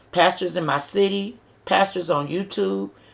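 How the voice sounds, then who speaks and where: A woman speaks at a medium pitch with vocal fry. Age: 60s. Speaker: vlogger giving advice to single moms. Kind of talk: inspirational talk to camera. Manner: earnest, conversational.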